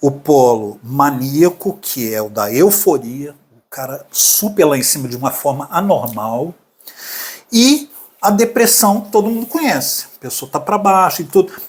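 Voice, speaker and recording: A man talks at a fairly slow pace with very wide pitch swings. His loudness swings a lot too. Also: fairly high pitch for a man. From Brazil, Minas Gerais (Belo Horizonte). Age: 60s. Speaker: artist sharing his mental health story. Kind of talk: podcast interview, personal testimony.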